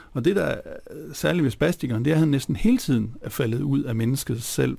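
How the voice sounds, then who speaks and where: A man talks at a fairly quick pace with a fairly high pitch and ordinary pitch variation. His tone is dark and mellow, with vocal fry. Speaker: philosopher. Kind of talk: radio interview. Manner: halting.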